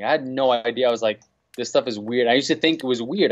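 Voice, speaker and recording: In a New York accent, a man talks at a very fast pace and medium pitch, with ordinary pitch variation against a quiet background. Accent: New York City. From New York City. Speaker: DJ; podcast guest. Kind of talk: casual chat. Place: office. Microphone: video call.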